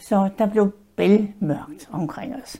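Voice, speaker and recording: Dark and mellow in tone, a woman's medium-pitched voice shows ordinary pitch variation. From Denmark. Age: 90s. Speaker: WWII eyewitness. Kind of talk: oral history interview. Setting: her apartment in a care home.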